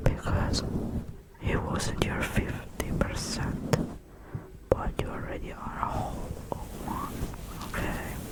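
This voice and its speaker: Whispering in a soothing tone, the speaker moves at a very slow pace with long, frequent pauses. Noticeable background noise sits behind the voice. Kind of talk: ASMR comfort talk. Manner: whispered; soft-spoken, soothing.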